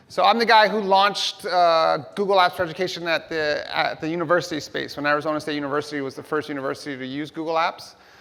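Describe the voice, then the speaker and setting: This man speaks very fast with hardly any pauses, his fairly high voice bright and sharp in tone, its pitch varying in an ordinary way. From New York City (Hell's Kitchen), US. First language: Spanish. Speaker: tech company education executive, keynote speaker. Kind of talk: keynote speech. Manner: animated.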